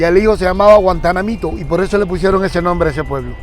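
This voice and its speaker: Talking at a very fast pace in a high voice, a man comes through with audible room echo and noticeable background noise. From Cuba, Guantánamo. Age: 60s. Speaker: teacher. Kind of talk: interview.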